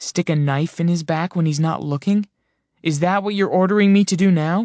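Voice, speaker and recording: Using a put-on character voice, a man speaks in a raspy, high pitch with fairly even intonation at a moderate pace. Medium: read story. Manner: sarcastic.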